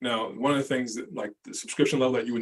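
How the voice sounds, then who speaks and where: A man talks at a very fast pace. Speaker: accounting consultant. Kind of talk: webinar presentation.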